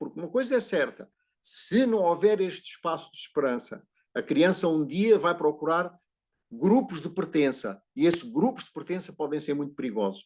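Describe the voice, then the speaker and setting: Over a quiet background, a man with a Portuguese accent speaks high in pitch at a moderate pace, his voice making very wide pitch swings. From Portugal. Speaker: psychologist speaking at a prayer group. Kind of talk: talk on family systems and education. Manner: halting, repeats words.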